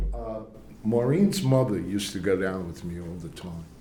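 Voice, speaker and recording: A man with an American accent at a fairly slow pace, with audible room echo. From Cambridge, Massachusetts. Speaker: priest. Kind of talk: lecture. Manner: halting.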